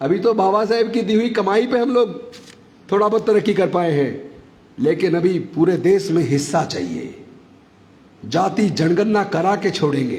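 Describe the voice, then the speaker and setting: A man speaks at a fairly slow pace in a high pitch. His intonation is lively. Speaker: politician, former minister. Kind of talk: political speech at rally. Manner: forceful, impassioned.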